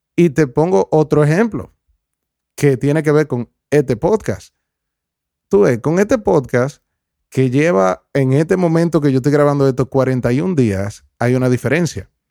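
A man's dark, mellow, fairly high-pitched voice with lively intonation, very even loudness and a fairly slow pace, in a dry, close sound with no echo. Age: 20s. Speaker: podcast host. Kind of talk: reflective solo monologue. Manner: halting, many fillers and repetitions.

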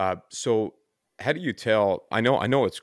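A Newfoundland accent in a dry, close sound with no echo. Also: man. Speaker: podcast host. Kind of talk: casual chat.

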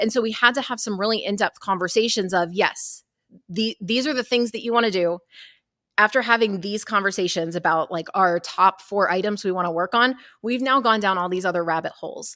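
A woman's bright, sharp voice at medium pitch, fairly quick pace and ordinary pitch variation, on a very clean recording with a silent background. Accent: American. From Texas. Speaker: mortgage operations consultant. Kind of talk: interview. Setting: conference.

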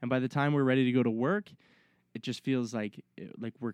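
A medium-pitched man at a very fast pace, with a quiet background and a dry, close sound with no echo. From Halifax, Nova Scotia, Canada. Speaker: forestry worker. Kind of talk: casual chat. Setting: bush camp.

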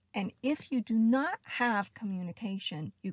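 A woman with an American accent speaks somewhat breathily at a fairly slow pace, her intonation lively, in a dry, close sound with no echo. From US South. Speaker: astrology podcast host. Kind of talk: solo astrology monologue.

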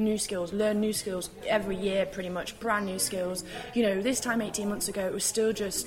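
A woman at a medium pitch and fairly quick pace, with fairly even intonation, audible room echo and noticeable background noise. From UK. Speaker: tea company co-founder. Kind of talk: casual interview. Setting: live event, moved indoors.

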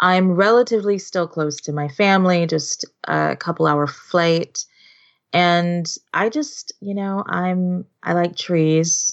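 At a very slow pace, a woman with a Californian accent speaks at a fairly low pitch with ordinary pitch variation. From Southern California, Los Angeles. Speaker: scrapbooking artist. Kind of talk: casual interview.

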